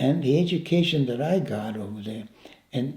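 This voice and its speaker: A man's dark, mellow voice at medium pitch, with vocal fry, lively intonation, a fairly slow pace, and audible room echo. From Italy. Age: 90s. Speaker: war veteran. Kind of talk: life story interview. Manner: halting, repeats words.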